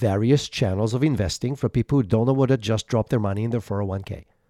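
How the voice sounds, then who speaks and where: The sound is dry and close, with no echo. A man speaks in a dark, mellow tone with lively intonation. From Israel. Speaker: entrepreneur. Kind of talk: interview. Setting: video call.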